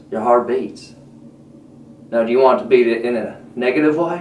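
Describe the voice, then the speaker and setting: A man talks fairly slowly amid light background noise and audible room echo. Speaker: comic vlogger in character. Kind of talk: comedic monologue, laid-back surfer-style chat. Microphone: webcam.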